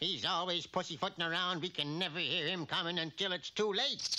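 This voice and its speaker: Cartoonish character voice from a man, high-pitched and fairly quick. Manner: officious.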